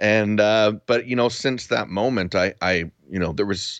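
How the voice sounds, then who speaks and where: In a Western Canadian accent, a man with a fairly low voice speaks at a fairly slow pace, the sound dry and close with no echo against a quiet background. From Vancouver Island, Canada (Duncan, BC). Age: 40s. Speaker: video creator and podcaster. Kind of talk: casual interview chat. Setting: remote call.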